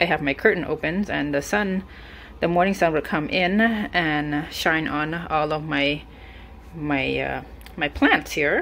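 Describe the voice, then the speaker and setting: At a moderate pace and with fairly even intonation, the speaker leaves long, frequent pauses against light background noise. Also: woman, very deep, low pitch for a woman. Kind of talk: casual vlog chat. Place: home room. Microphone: phone near.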